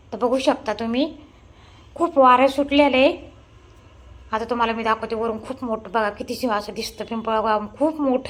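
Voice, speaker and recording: A woman talks in a normal speaking voice. Her pitch is fairly high, with ordinary pitch variation. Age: 50s. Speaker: vlogger and shop owner. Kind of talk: casual vlog narration.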